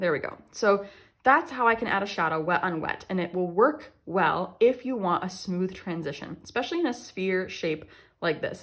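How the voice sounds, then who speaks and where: A woman talks at a fairly quick pace. Her pitch is medium, with ordinary variation. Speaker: watercolor artist and art teacher. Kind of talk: tutorial. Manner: fast; casual, occasionally stumbling over words.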